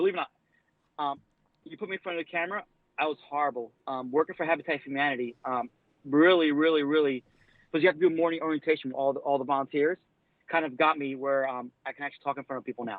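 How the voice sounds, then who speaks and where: At a very fast pace broken by long, frequent pauses, a man with a fairly high pitch speaks with fairly even intonation and big swings in loudness. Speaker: plumber. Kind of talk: casual chat. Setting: live stream interview.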